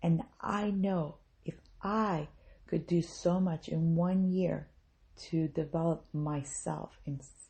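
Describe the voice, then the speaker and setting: Speaking very slowly with an American accent, a woman uses a fairly low, somewhat breathy voice and fairly even intonation. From US South, South Mississippi. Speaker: podcast host. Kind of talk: motivational talk.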